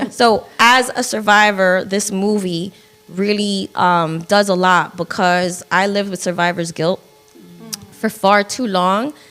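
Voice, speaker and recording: A woman talks at a fairly slow pace with an American accent. Music plays in the background. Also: medium pitch for a woman, fairly even intonation. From northern New Jersey. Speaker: film producer and podcaster. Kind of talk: interview conversation.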